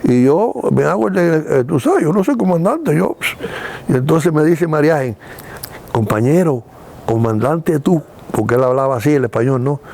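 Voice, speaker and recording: Over noticeable background noise, a man speaks at a moderate pace with fairly high pitch, very even loudness, and long, frequent pauses. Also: lively intonation. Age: 80s+. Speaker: retired film producer. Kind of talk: interview storytelling. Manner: animated.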